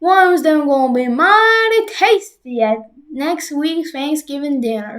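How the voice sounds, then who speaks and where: A woman's put-on character voice, high in pitch, with very wide pitch swings, a fairly slow pace, and hardly any pauses. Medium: read story.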